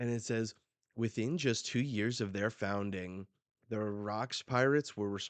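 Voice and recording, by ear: The surroundings are quiet. The reading aloud is done in a natural voice.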